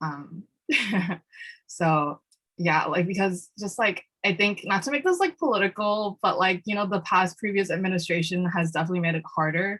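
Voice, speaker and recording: Here a woman talks with a New York accent at a moderate pace. Her fairly low pitch shows ordinary variation. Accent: New York American English. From Peruvian-Chinese family, raised in New York City from age 3. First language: Spanish. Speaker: student activist and panelist. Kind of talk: panel discussion. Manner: hesitant, many fillers.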